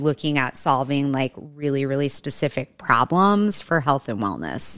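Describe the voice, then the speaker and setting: On a very clean recording with a silent background, a woman speaks at a fairly slow pace. Her tone is bright and sharp, and her pitch very deep and low. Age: 40s. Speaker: cannabis entrepreneur and nonprofit founder. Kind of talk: casual chat.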